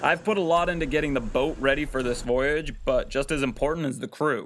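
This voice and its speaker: The voice has a bright, sharp tone, heard over light background noise. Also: man. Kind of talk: documentary interview narration. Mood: upbeat, friendly. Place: boat.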